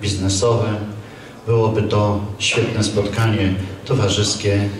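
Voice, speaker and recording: Amid light background noise and audible room echo, a man talks at a fairly slow pace with a fairly low pitch and monotone, flat intonation. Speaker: fair organizer host. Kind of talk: formal opening speech. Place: hall.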